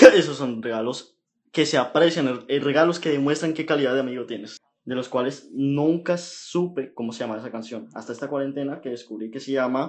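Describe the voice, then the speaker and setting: A plain, everyday voice from a man, fairly high in pitch, with ordinary pitch variation, big swings in loudness and a moderate pace. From Panama. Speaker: podcast co-host. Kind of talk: casual chat.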